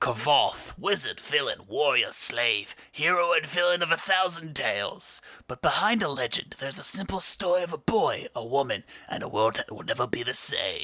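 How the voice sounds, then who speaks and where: At a moderate pace, a man performs a put-on character voice with a high pitch. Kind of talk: book blurb narration, trailer-like. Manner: cool, dramatic, hyped-up.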